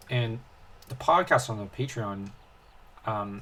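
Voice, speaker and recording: A man speaks with a fairly low, somewhat breathy voice and ordinary pitch variation. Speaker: gaming video host. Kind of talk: casual gameplay commentary. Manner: halting, many fillers and restarts.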